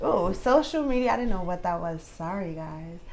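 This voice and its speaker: A woman with a New York accent speaks with very wide pitch swings. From Brooklyn, New York. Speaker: commentary vlogger. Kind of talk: casual vlog commentary.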